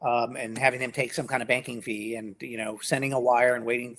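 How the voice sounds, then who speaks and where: At a fairly quick pace, a man talks in a plain, everyday voice at medium pitch. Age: 60s. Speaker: domain industry veteran. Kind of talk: live podcast conversation.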